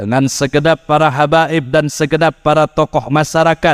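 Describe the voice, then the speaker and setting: In a dry, close recording with no echo, a man talks at a fairly high pitch with fairly even intonation. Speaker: Islamic preacher. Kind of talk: sermon. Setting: religious gathering with audience.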